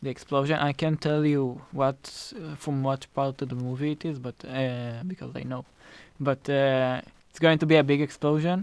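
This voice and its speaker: With a non-native accent, a man talks at a moderate pace with fairly even intonation. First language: not English. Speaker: film director. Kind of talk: casual chat. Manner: halting, many repeated words.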